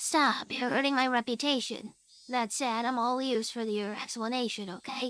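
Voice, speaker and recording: A woman speaks in a put-on character voice pitched high. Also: moderate pace. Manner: comic, exaggerated.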